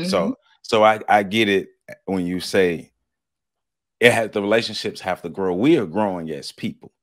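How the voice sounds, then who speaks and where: A man speaks at a moderate pace with ordinary pitch variation and long, frequent pauses against a quiet background. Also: fairly low pitch for a man. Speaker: podcast host. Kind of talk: interview question, conversational. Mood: warm, reflective. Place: home room.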